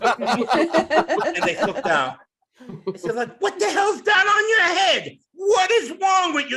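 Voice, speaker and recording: A man's raised, projected voice at an extremely high pitch, bright and sharp in tone, with very wide pitch swings and a fairly slow pace. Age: 60s. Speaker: stand-up comedian. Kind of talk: stand-up. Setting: stage with audience.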